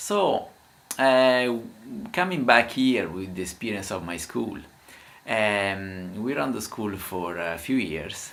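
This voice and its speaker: In an Italian accent, a man with a fairly low pitch speaks very slowly and with lively intonation, amid audible room echo. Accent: Italian accent in English, imperfect. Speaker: language teacher. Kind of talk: casual talk to camera. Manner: halting, many filler sounds.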